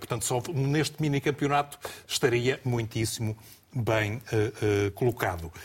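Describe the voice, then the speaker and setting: The man's voice is somewhat breathy, at a medium pitch with ordinary pitch variation. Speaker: football pundit. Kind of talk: TV football analysis panel. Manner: halting.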